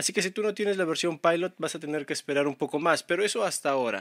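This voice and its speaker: A man speaks with a normal speaking voice, a fairly high pitch, and ordinary pitch variation. The recording is very clean with a silent background and a dry, close sound with no echo. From Peru. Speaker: tech YouTuber. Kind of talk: tutorial.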